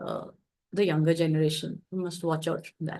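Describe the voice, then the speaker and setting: A woman with an Indian accent talks at a fairly quick pace. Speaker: discussion facilitator. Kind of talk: group discussion.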